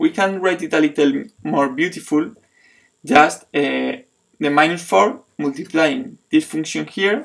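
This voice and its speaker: Speaking with a non-native accent, a man talks at a fairly slow pace. His pitch is fairly high and his intonation lively. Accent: foreign accent, self-described funny. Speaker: math teacher. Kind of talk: tutorial. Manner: halting, many fillers and restarts.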